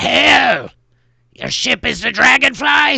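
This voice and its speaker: A raspy, put-on character voice at a very slow pace, in a dry, close sound with no echo. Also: man. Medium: actual play. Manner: formal, officious.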